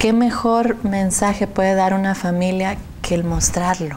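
With a dark, mellow tone, a woman speaks at a very slow pace with ordinary pitch variation over light background noise. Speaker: hospital administrator; TV guest. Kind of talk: interview. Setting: studio. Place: studio. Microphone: lapel.

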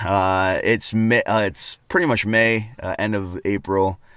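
With a clear, smooth tone that is also bright and sharp, a man speaks fairly slowly at a fairly low pitch with fairly even intonation.

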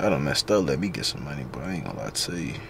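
Over light background noise, a man with an American accent talks at a very fast pace with lively intonation. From US South, Atlanta east side; Georgia. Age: 20s. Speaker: vlogger and day trader; vlogger. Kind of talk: casual vlog. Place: car. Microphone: phone near.

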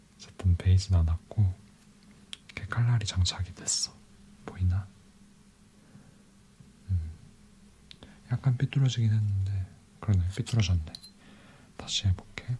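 A soft-spoken man talks at a fairly slow pace in a calm tone, with long, frequent pauses. His very deep, low pitch shows ordinary pitch variation over noticeable background noise. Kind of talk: ASMR boyfriend roleplay. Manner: soft-spoken, calm.

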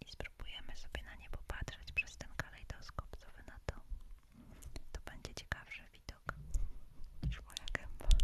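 A woman whispers at a moderate pace, with long, frequent pauses. Her loudness swings widely. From Poland. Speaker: ASMR creator. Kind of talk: casual talk to camera, live stream chat. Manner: soft-spoken, whispering. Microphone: studio mic.

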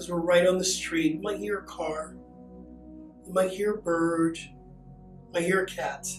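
High-pitched male speech at a fairly slow pace, with clear background music and audible room echo. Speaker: meditation teacher. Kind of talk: guided meditation. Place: studio.

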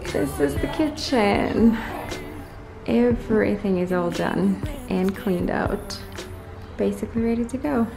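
A woman speaks at a fairly slow pace, with long, frequent pauses. Clear music plays in the background. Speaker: mom vlogger. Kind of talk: casual vlog chat. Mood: nostalgic, upbeat. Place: empty room. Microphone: phone near.

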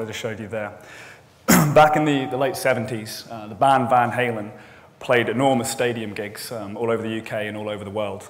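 A man's intonation stays fairly even while he talks at a fairly quick pace, with light background noise behind him. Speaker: conference speaker. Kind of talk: conference talk, storytelling. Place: hall.

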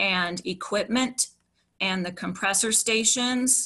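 A woman with an American accent, bright and sharp in tone, fairly slow and fairly even in intonation, against a quiet background. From West Virginia (Upshur County). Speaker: environmental activist. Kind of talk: prepared testimony presentation. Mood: concerned, earnest. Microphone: video call.

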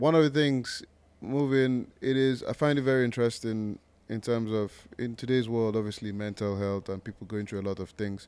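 Here is a man with a normal speaking voice at a medium pitch. He keeps a moderate pace with ordinary pitch variation. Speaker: podcast host. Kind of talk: podcast interview questions.

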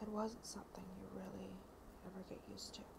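Over noticeable background noise, a soft-spoken woman is whispering. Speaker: ASMR creator. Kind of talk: ASMR reading of a novel preface. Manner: whispered, soft. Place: home room. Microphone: earbuds.

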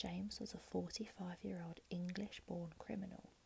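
Soft-spoken, a woman talks with vocal fry in a dark, mellow tone at a fairly low pitch, with fairly even intonation and light background noise. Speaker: ASMR creator. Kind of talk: true crime narration, ASMR. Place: home room. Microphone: earbuds.

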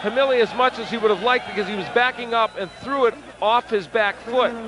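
Against noticeable background noise, a man projects a raised, high voice at a fairly quick pace with fairly even intonation, in a dry sound with no echo. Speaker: boxing commentator. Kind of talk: live commentary. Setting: ringside at a bull ring arena.

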